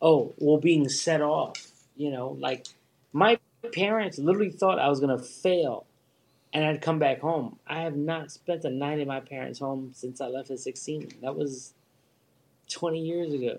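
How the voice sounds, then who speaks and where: A man with a Philadelphia accent, his pitch fairly high, at a fairly slow pace. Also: ordinary pitch variation. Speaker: guest. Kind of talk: casual chat. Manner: animated.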